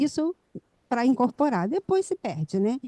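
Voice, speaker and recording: Over a quiet background, a woman speaks at a moderate pace in a dark, mellow tone. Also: dry, close sound with no echo. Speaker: pharmacist, student. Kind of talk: audience question. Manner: soft-spoken.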